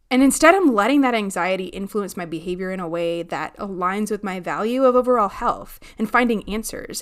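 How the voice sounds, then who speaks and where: Using a plain, everyday voice, a woman talks with hardly any pauses, lively intonation and big swings in loudness. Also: medium pitch for a woman, fairly quick pace. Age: 30s. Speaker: podcast host, behavior analyst. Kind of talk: casual solo podcast monologue.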